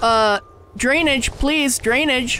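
Someone with an American accent speaks at a very slow pace over noticeable background noise. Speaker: gaming YouTuber. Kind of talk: let's play commentary. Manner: animated.

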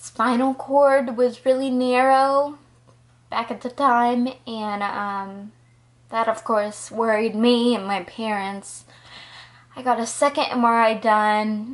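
The speaker goes at a very slow pace with fairly even intonation. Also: woman, fairly high pitch for a woman. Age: 20s. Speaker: college student, psychology major. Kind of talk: casual personal story to camera. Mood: earnest, reflective. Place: home room. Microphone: phone near.

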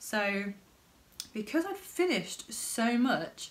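A woman with a British accent. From United Kingdom. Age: 20s. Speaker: crafting vlogger. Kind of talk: casual vlog talk. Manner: halting.

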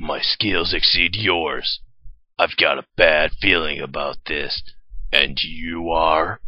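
Raspy and very deep, a man's put-on character voice moves at a very slow pace. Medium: dub.

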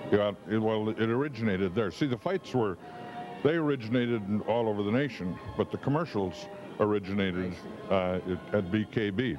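Speech at a moderate pace and very even loudness, with clear music in the background. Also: man, fairly low pitch for a man. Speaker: TV announcer and weatherman. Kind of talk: interview answer. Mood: reminiscing, relaxed. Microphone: handheld.

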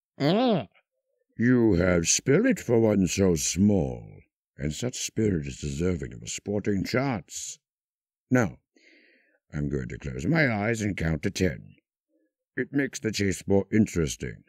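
A man's theatrical, fairly low voice with very wide pitch swings, a fairly slow pace and long, frequent pauses, dry and close with no echo on a very clean recording with a silent background. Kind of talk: scripted villain character performance, quoting film lines. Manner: suave, silky and menacing, dripping with polite sarcasm; theatrical, with lilting posh delivery, sudden snarling outbursts and laughs.

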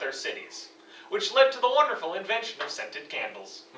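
A man speaks in a raised, projected voice at a fairly quick pace. Audible room echo surrounds him. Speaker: presenter. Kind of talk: comedic school presentation. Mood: deadpan humorous. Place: classroom. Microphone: camera far.

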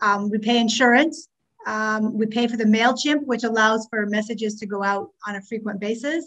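A woman with a Canadian accent talks at a moderate pace. Her pitch is fairly high, with ordinary pitch variation. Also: quiet background. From Ontario, Canada (Scarborough). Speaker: past president of a teachers' association. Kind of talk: meeting chairing and financial report. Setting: video call. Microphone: video call.

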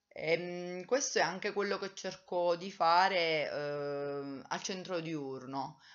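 A woman with a fairly low pitch speaks at a very slow pace. The background is quiet. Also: ordinary pitch variation. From Italy, Abruzzo (Teramo); Abruzzo, Italy. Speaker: vlogger, writing workshop leader; vlogger who works at a day centre. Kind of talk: personal vlog monologue. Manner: hesitant, many fillers. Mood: reflective, warm. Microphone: webcam.

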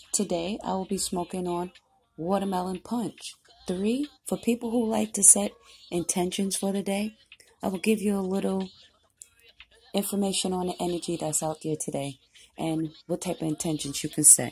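A woman with a dark, mellow tone sounds somewhat breathy, using ordinary pitch variation and long, frequent pauses. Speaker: tarot reader. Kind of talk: casual vlog chat. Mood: calm, relaxed.

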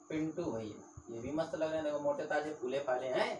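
A man with a fairly high pitch and a slightly mellow tone speaks at a fairly slow pace with lively intonation, with audible room echo.

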